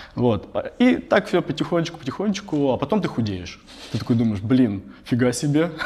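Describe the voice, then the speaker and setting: Through noticeable background noise, a man with a fairly high pitch speaks at a moderate pace, his pitch swinging very widely. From Russia, Tambov. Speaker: tech company CEO. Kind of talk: interview. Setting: office. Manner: halting.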